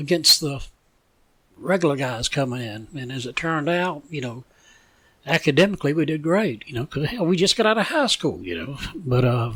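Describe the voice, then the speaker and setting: Speaking with a Southern US accent, a man uses lively intonation at a fairly high pitch. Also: moderate pace. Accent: Southern US (Georgia). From US South, Savannah, Georgia. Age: 70s. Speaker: retired police officer. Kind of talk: interview.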